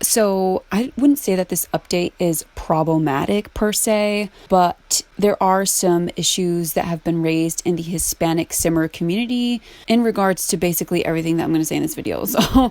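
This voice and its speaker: A plain, everyday voice speaks at a moderate pace with hardly any pauses, in a dry, close sound with no echo. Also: woman. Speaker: gaming YouTuber. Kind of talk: casual chat while gameplay building. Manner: casual, filler-heavy.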